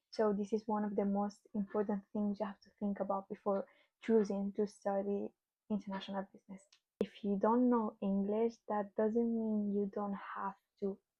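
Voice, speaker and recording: The voice is somewhat breathy, with monotone, flat intonation. Its loudness swings widely. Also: woman, medium pitch for a woman, moderate pace. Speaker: student vlogger. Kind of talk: casual explainer vlog. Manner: halting, with fillers.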